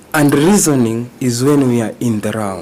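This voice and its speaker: At a fairly slow pace and medium pitch, a man with a Kenyan accent speaks over noticeable background noise. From Kenya, Banyore community. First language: Luhya (Banyore). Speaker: Rastafarian traditional healer, court witness. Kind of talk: court testimony under questioning. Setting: courtroom.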